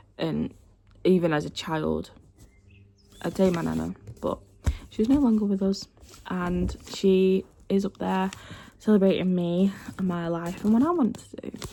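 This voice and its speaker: A woman talks at a fairly slow pace, leaving long, frequent pauses. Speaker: vlogger. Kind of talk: casual chat. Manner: casual, filler-heavy.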